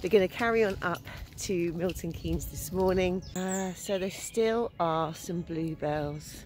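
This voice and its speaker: Fairly slow, fairly low-pitched woman's speech with fairly even intonation, dry with no echo, faint music in the background. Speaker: vlogger. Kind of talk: casual vlog chat. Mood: cheerful, chatty. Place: forest. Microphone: phone near.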